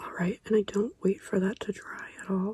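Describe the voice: A woman speaks at a medium pitch and moderate pace, her tone dark and mellow with a husky, rough edge and little pitch movement.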